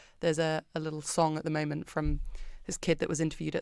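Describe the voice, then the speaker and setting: A woman's very deep, low-pitched voice with a British accent. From Britain. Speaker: company founder. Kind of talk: casual interview chat.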